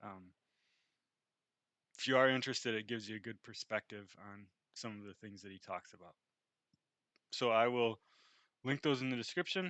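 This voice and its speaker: A man's medium-pitched voice with ordinary pitch variation, big swings in loudness, and long, frequent pauses. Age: 30s. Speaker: engineer sharing personal trauma story. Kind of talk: personal vlog monologue. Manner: halting, many fillers.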